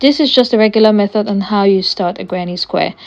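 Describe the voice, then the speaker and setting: A woman talks at a fairly quick pace with a medium pitch and ordinary pitch variation. She has a normal speaking voice. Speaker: crochet tutorial creator. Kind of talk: tutorial.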